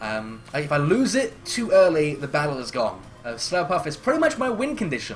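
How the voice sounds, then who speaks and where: Over music in the background and audible room echo, the voice swings very widely in pitch with hardly any pauses. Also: man, high pitch for a man. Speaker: gaming commentator. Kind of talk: live commentary. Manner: fast; halting.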